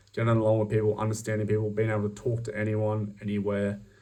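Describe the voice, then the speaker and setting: Audible room echo surrounds a man with an Australian accent whose fairly low-pitched voice has a dark, mellow tone as he talks at a fairly quick pace. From Australia, outback. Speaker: job applicant. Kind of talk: recorded job application video. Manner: hesitant, many fillers.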